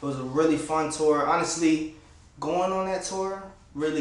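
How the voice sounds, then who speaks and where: There is audible room echo as a man with a fairly high pitch speaks at a moderate pace in a fairly even intonation. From Florida (Clermont, West Palm Beach). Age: 20s. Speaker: upcoming rapper. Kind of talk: casual interview monologue.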